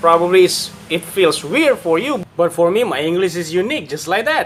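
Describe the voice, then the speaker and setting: A man with an Indonesian accent and a high pitch, ordinary pitch variation, over noticeable background noise. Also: moderate pace. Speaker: YouTuber. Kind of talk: casual vlog commentary. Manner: repetitive, hesitant phrasing.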